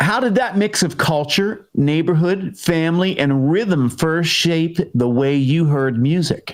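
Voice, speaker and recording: The intonation is lively while loudness stays very even. The pace is fairly slow. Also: man, fairly high pitch for a man. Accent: Pittsburgh. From Pittsburgh, Pennsylvania. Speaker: interview show host. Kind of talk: casual interview.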